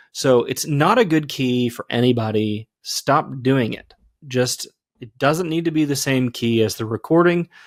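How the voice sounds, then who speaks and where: At a fairly slow pace, a man with an ordinary speaking voice and medium pitch uses ordinary pitch variation, on a very clean recording with a silent background and a dry, close sound with no echo. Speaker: podcast host, former worship leader. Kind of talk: casual chat.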